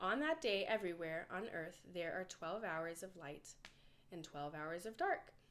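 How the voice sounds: Lively intonation marks a woman's fairly bright voice, fairly low in pitch and delivered at a fairly slow pace.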